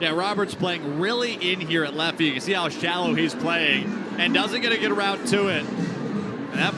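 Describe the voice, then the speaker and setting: Over background music, a man with a high pitch projects a raised voice at a moderate pace with ordinary pitch variation. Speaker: baseball color commentator. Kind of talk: sports color commentary.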